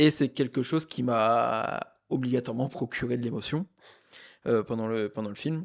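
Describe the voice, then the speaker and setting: Long, frequent pauses break up a man's moderate-paced speech, medium in pitch with ordinary pitch variation. The sound is dry and close with no echo, on a very clean recording with a silent background. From eastern France, Haute-Marne (Saint-Dizier). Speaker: film podcast co-host. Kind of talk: casual chat. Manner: hesitant, many fillers.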